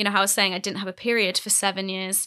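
A woman in a British accent, medium pitch and bright, sharp tone, on a very clean recording with a silent background. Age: 20s. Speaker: YouTuber and author. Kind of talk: casual interview.

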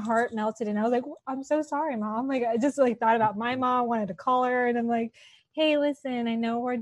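The speaker talks at a moderate pace with a Californian accent and ordinary pitch variation. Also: woman. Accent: Californian American English. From Los Angeles. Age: 30s. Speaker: TV talk show host. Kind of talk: casual interview. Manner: animated.

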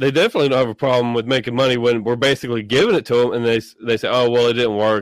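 In a Tennessee accent, a man speaks at a fairly quick pace and medium pitch, with dry, close sound and no echo. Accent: Tennessee Southern. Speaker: podcast host. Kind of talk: casual chat.

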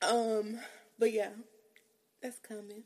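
Speaking slowly, a woman uses a fairly high pitch and a slightly mellow tone, with little pitch movement.

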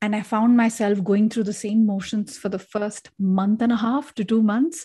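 On a very clean recording with a silent background, a woman with a dark, mellow, somewhat breathy tone speaks at a moderate pace, with a fairly high pitch and ordinary pitch variation. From India, Delhi. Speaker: leadership coach. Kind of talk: interview conversation.

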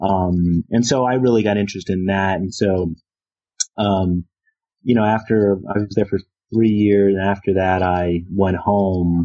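A man with a Philadelphia accent, fairly low in pitch, with fairly even intonation and a fairly slow pace. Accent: Philadelphia American English. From US, Philadelphia. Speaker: religious studies professor. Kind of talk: interview. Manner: halting, many fillers.

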